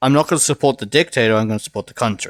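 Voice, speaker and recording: A man with a Welsh accent talks at a very fast pace, his voice dry and close with no echo on a very clean recording against a silent background. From Wales. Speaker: podcast host and streamer. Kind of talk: casual chat.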